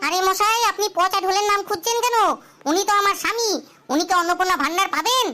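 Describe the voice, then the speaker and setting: This woman uses a cartoonish character voice pitched extremely high. She talks at a moderate pace with very even loudness. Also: ordinary pitch variation. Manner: loud, indignant.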